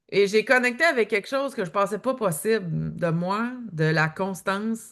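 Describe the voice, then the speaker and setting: Against a quiet background, a woman speaks at medium pitch with lively intonation. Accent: Quebec. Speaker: author and eating-behaviour coach. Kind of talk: podcast interview.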